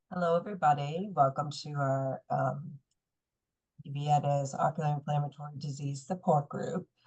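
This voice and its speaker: Her voice is very deep and low for a woman, somewhat breathy, with fairly even intonation. She speaks at a moderate pace, and her loudness swings a lot. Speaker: support group facilitator. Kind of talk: meeting introduction. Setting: video call.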